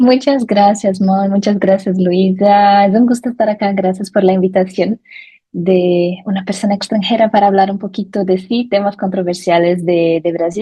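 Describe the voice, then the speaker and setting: With a Brazilian accent, a woman speaks in a somewhat breathy voice. Her pace is moderate. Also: medium pitch for a woman, fairly even intonation. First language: Portuguese (speaking Spanish). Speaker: lawyer, digital rights expert. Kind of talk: interview.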